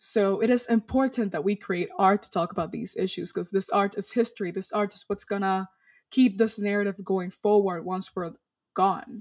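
A woman speaks with fairly even intonation while her loudness swings widely. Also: medium pitch for a woman, moderate pace. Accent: Spanish. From Dominican Republic. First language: Spanish. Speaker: storyteller and activist. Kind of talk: interview. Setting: video call.

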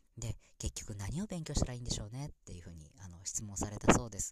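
Ordinary pitch variation in a man's somewhat breathy voice. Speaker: podcast host. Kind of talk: casual solo audio broadcast. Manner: halting, filler-heavy; warm, enthusiastic.

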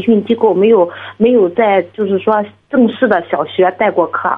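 Ordinary pitch variation in a fairly high-pitched female voice. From Shandong, Jining. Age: 30s. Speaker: caller seeking exam advice. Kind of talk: phone-in advice call. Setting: phone call.

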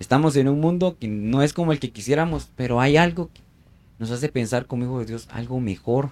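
A man with a plain, everyday voice at medium pitch, fairly quick pace, ordinary pitch variation and big swings in loudness. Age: 20s. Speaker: architect and missionary. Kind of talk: casual chat.

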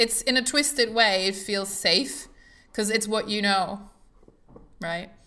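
Bright and sharp in tone, a woman with a German accent speaks slowly at a fairly high pitch with ordinary variation, leaving long, frequent pauses. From Germany. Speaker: podcast host. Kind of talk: casual conversational interview.

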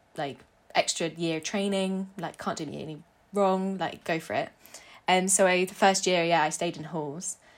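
In a southern English accent, the speaker keeps a moderate pace and fairly even intonation with big swings in loudness, on a very clean recording with a silent background. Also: woman, medium pitch for a woman. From southern England (North London, then East Sussex). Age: 20s. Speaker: interview guest. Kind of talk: casual interview.

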